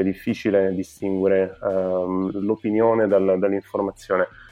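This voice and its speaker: Monotone, flat intonation marks this man's fairly low voice. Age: 20s. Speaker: entrepreneur and event organizer. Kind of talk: podcast interview. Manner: halting, many filler sounds.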